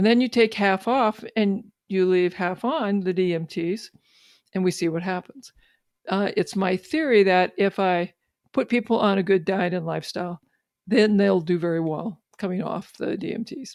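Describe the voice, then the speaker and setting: A woman talks at a medium pitch with ordinary pitch variation. Her pace is moderate and the background is quiet. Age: 60s. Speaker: physician and researcher. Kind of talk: interview. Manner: halting, with many fillers.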